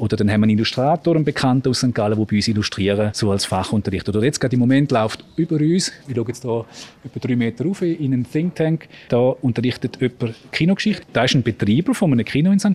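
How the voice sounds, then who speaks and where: Speaking at a very fast pace, a man with a medium pitch uses lively intonation. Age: 40s. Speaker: school principal. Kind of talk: interview on location. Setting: on location in a school building.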